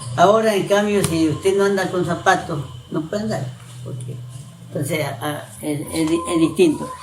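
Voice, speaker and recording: A high-pitched man at a moderate pace, ordinary pitch variation, noticeable background noise and audible room echo. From coastal Ecuador, Manabí (San Isidro). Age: 70s. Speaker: elderly local resident interviewed. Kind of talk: oral history interview. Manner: halting, with repetitions.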